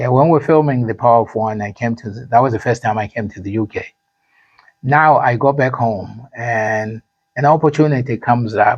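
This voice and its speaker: A man speaks at a fairly quick pace with a Zimbabwean accent. His loudness swings widely. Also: medium pitch for a man, ordinary pitch variation. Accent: Zimbabwean accent, never changed. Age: 50s. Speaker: actor and musician. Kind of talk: interview. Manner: halting, repeats words.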